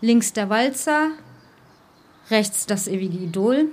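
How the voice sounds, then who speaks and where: Her voice sits at a fairly high pitch as the woman speaks. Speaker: cultural coordinator and radio presenter. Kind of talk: live talk before an audience. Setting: stage with audience. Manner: emotional, voice drops.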